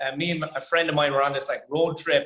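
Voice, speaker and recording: This man has an Irish accent and a high pitch. He talks at a very fast pace. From Ireland. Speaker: stand-up comedian. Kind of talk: interview.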